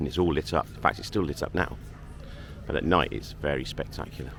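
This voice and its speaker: A man speaks at a moderate pace with vocal fry. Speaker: travel vlogger. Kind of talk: walking vlog tour. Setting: outdoors at a harbour.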